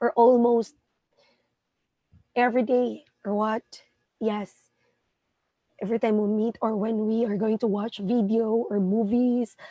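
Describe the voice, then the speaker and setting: A woman at a fairly high pitch and fairly slow pace, dark and mellow in tone, with monotone, flat intonation and long, frequent pauses. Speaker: English teacher. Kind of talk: tutorial. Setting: live stream.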